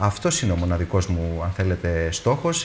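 There is light noise behind the man as he talks. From Greece. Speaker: European Parliament candidate; candidate. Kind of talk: heated debate. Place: studio. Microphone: lapel.

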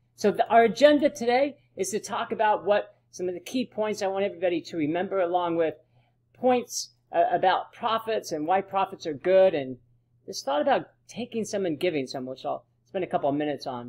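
Against a quiet background, the speaker talks at a fairly quick pace with very wide pitch swings. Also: man, high pitch for a man. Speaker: presenter. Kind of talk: lecture. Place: home room. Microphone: webcam.

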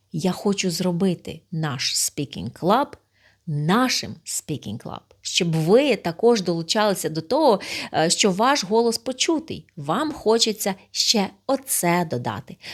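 Very slowly, a woman speaks with very wide pitch swings on a very clean recording with a silent background. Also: medium pitch for a woman. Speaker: speaking club host. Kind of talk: direct address to camera, video appeal.

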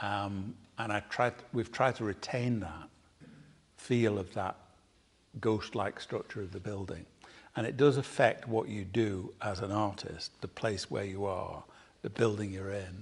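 A man with a fairly low pitch speaks at a fairly slow pace, somewhat breathy and with fairly even intonation, leaving long, frequent pauses. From South Manchester, England; England. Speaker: painter; interviewee. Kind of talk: public conversation. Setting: artist's studio with live audience. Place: workshop.

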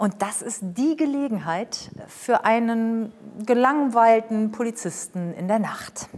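A woman speaks at a very slow pace. Her voice is fairly high, with ordinary pitch variation. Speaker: TV presenter and voice-over speaker; TV presenter, speaker. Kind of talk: casual chat. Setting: studio. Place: studio. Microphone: lapel.

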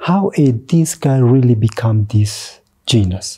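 Against a quiet background, a man speaks at a medium pitch. His tone is dark and mellow, and his intonation is lively. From Ethiopia, Borana/Moyale border region; Ethiopia. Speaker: teacher, school counselor and artist; teacher. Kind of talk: interview. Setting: studio. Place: studio. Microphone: lapel.

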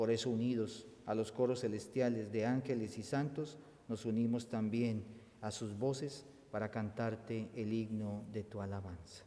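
The man's tone is solemn, his pitch medium. He speaks at a fairly slow pace with fairly even intonation. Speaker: priest. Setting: church. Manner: solemn, reverent, measured; slow, intoned prayer delivery. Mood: solemn, measured. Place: church. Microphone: camera far.

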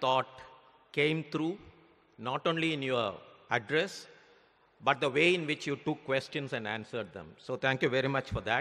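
Over a quiet background, the voice has a bright, sharp tone and moves at a moderate pace. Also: man. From India. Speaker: former central banker. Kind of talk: vote of thanks speech. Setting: stage with audience. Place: hall. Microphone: podium.

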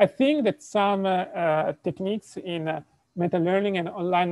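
A man with an Italian accent speaks at a moderate pace, his pitch high and its variation ordinary. The sound is dry with no echo, over a quiet background. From Italy. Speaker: robotics professor. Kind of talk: lecture. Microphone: video call.

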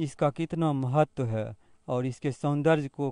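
This man's medium-pitched voice has a dark, mellow tone and ordinary pitch variation, recorded with a dry, close sound and no echo. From Begusarai, Bihar. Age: 50s. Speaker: local resident. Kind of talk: interview.

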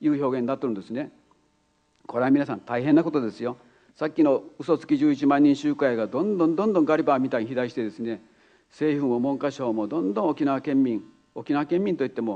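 The pace is fairly quick. The tone is dark and mellow. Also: man. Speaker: keynote speaker. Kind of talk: public speech. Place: hall. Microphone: podium.

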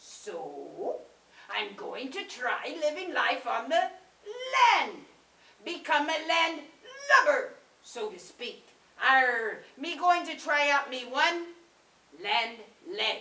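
A cartoonish character voice with a high pitch and very wide pitch swings speaks at a very slow pace. Long, frequent pauses break it up, and there is a slight echo. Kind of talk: puppet show character monologue. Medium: puppet show. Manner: blustery, comic.

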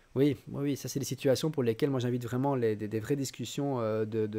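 Hardly pausing, a man talks at medium pitch in a dark, mellow tone with fairly even intonation. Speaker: digital education trainer. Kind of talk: online training lecture. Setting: live stream. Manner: fast. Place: home room. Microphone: studio mic.

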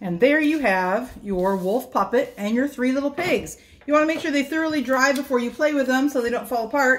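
A woman talks at a fairly quick pace. Her pitch is high. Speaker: presenter. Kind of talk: tutorial. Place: kitchen. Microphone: camera far.

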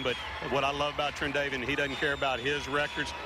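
A man at a fairly high pitch and very fast pace, dry sound with no echo, under loud background noise. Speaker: high school football coach. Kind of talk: coach's interview and locker room talk; interview answer. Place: stadium. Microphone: handheld.

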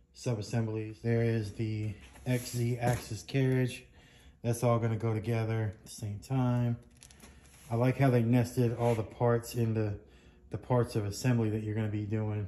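A man speaks with monotone, flat intonation as light background noise plays. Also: moderate pace. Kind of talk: casual unboxing commentary. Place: workshop. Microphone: phone near.

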